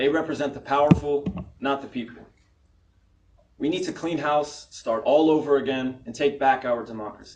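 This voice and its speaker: A man with an American accent, a plain, everyday voice, fairly high in pitch, at a moderate pace. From Florida (Tampa area). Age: 20s. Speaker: political candidate. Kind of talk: campaign speech. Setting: candidates forum with audience.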